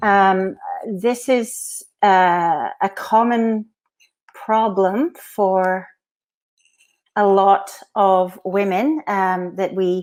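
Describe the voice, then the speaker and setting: In a Glaswegian accent, a woman at medium pitch speaks at a very slow pace with fairly even intonation and long, frequent pauses. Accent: Glaswegian Scottish, noticeable. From Scotland, Glasgow. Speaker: physiotherapist. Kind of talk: conference lecture. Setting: virtual conference.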